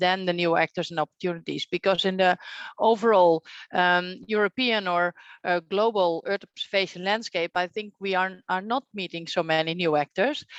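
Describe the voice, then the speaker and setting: Against a quiet background with a dry, close sound and no echo, a woman with a Dutch accent speaks at a moderate pace, her medium pitch carrying fairly even intonation. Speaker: session moderator. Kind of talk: moderated online workshop.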